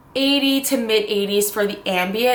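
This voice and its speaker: The recording has audible room echo, and the voice shows ordinary pitch variation. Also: woman. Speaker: reptile keeper vlogger. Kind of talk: tutorial. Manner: casual, filler-heavy.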